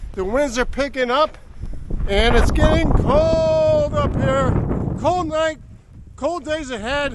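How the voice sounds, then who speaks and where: The speech comes at a very slow pace amid noticeable background noise and audible room echo. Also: man. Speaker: local weather vlogger. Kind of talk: outdoor weather report. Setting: outdoors in a snowstorm. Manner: shouting; animated. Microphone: GoPro camera mic, no microphone.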